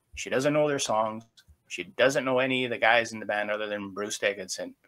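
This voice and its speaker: This man talks with a Canadian accent. His medium pitch shows ordinary variation. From Canada. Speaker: podcast co-host. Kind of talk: casual chat. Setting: video call. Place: home room. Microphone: video call.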